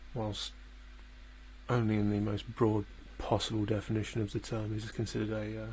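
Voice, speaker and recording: A man speaks at a fairly quick pace. His speech has long, frequent pauses. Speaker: political livestreamer. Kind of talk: live election commentary. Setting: home livestream, housemates asleep. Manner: hesitant, many fillers; soft-spoken, speaking quietly. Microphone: too quiet, gain adjusted, clipping.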